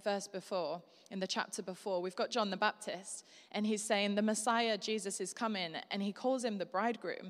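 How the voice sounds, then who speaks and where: Fairly even intonation marks this moderate-paced speech in a Yorkshire accent. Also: woman. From Yorkshire, northern England. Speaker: guest preacher. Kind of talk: sermon. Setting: church service with live congregation.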